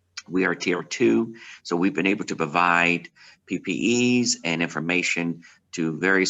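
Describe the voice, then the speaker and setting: This man speaks in a very deep, low pitch. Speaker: pastor. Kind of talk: virtual town hall remarks. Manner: fast.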